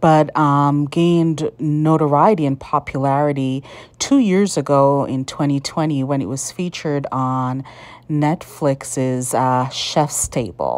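Her voice is very deep and low for a woman, and she speaks at a very slow pace with ordinary pitch variation. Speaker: food vlogger. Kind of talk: casual vlog commentary. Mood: quiet, admiring. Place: street. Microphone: phone near.

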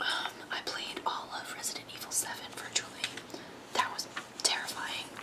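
Someone is whispering at a moderate pace. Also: woman. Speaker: ASMR creator. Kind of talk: whispered ASMR flip-through of a magazine, casual talk to camera. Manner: whispered, soft-spoken. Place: home room. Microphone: earbuds.

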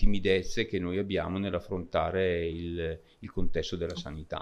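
Speaking at a fairly quick pace, a man has a very deep, low pitch and ordinary pitch variation. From Lombardy, Brescia; Lombardy, Italy. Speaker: member of parliament; conference speaker. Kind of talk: panel speech. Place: hall. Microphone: podium.

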